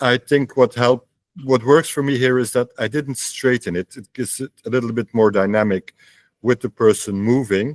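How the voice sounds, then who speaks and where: The sound is dry and close, with no echo. A man with a medium pitch talks at a moderate pace with fairly even intonation. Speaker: photography club critique leader. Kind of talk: photo critique in online group meeting. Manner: hesitant, many fillers.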